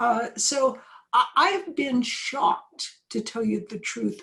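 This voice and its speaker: There's a somewhat breathy quality to this woman's voice. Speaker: professor. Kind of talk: interview. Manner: moderate pace, not fast; hesitant, many fillers.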